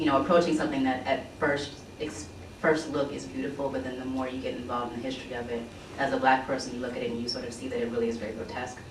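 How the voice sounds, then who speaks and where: A very fast pace over noticeable background noise. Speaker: artist on a panel. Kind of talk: panel presentation.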